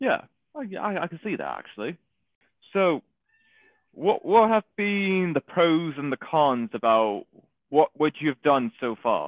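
With a Manchester accent, a man speaks at a fairly slow pace with long, frequent pauses. His high voice has very wide pitch swings and big swings in loudness. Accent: Mancunian northern English. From Manchester, England. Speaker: podcast host. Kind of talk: casual interview chat.

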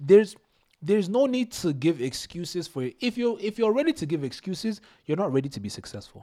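A man's high-pitched voice with a dark, mellow tone and very wide pitch swings. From Nigerian household in Canada. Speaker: podcast guest, best friend of host. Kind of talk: casual chat.

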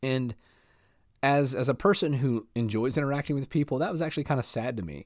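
A man talks at a very fast pace with a Southern US accent. His pitch is medium, with ordinary pitch variation. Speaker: podcast host on leadership. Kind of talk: casual monologue. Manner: laid back.

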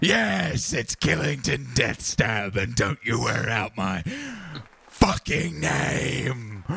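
A man's put-on character voice, fairly low in pitch, at a very slow pace. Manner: menacing, boastful, bloodthirsty.

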